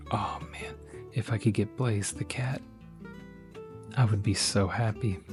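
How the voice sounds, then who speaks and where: Music plays in the background. A soft-spoken man with a fairly low pitch talks in a relaxed tone. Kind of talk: ASMR soft-spoken talk to camera showing a collection. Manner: soft-spoken, relaxed.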